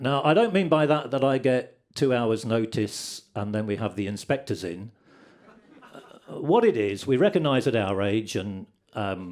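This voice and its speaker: A man with an ordinary speaking voice talks at medium pitch. His pace is fairly slow and his intonation lively. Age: 60s. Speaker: comedian. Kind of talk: stand-up. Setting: stage with audience.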